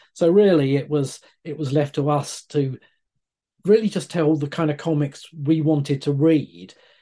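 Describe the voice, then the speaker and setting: At a moderate pace, a man with a fairly high, dark and mellow voice speaks with ordinary pitch variation. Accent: British. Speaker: comic writer. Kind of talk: interview answers.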